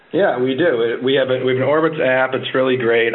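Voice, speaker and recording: Fairly quick speech from a man at medium pitch, with ordinary pitch variation and noticeable background noise. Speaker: travel industry expert. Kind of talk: interview, informative advice.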